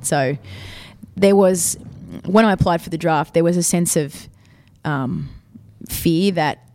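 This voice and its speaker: A woman with an Australian accent speaks fairly slowly in a dark, mellow tone, with ordinary pitch variation and long, frequent pauses. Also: fairly low pitch for a woman. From Sydney, Australia. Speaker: football captain and PE teacher. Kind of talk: interview. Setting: school during lunch break.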